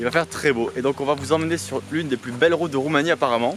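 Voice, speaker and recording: Music plays in the background as a man talks at a very fast pace. His pitch is fairly high, with ordinary variation. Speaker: travel vlogger. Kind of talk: casual vlog talk. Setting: outdoors in a field by a camper van. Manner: soft-spoken.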